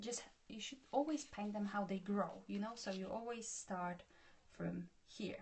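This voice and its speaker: A somewhat breathy woman with a Polish accent, medium in pitch, at a fairly slow pace with ordinary pitch variation. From Poland. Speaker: art tutor. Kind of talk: tutorial. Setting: live stream.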